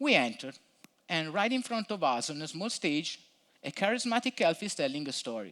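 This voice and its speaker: A man with a non-native accent, high-pitched with a bright, sharp tone, very wide pitch swings and a moderate pace, on a very clean recording with a silent background. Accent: non-native English, self-described terrible. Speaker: front-end developer, conference speaker. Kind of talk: conference talk. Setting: stage with audience. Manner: storytelling narration.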